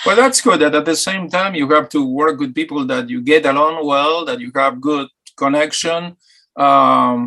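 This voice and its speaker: A man with an Argentine accent speaks at a moderate pace in a bright, sharp tone, his fairly high pitch showing ordinary variation. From Argentina, Buenos Aires. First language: Spanish. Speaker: talk show host. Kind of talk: interview.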